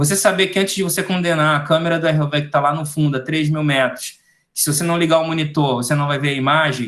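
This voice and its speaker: Over a quiet background, a man talks at a very fast pace in a fairly high pitch with fairly even intonation. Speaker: ROV technician giving a webinar. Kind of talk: webinar lecture.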